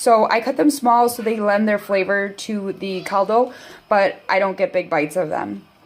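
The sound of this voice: A woman's raspy, put-on character voice at medium pitch, with ordinary pitch variation and a moderate pace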